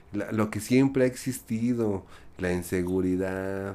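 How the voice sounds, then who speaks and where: A man talks in a plain, everyday voice at a fairly low pitch. His pace is fairly slow and his intonation fairly even. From Mexico. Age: 40s. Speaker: podcast guest. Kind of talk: casual chat.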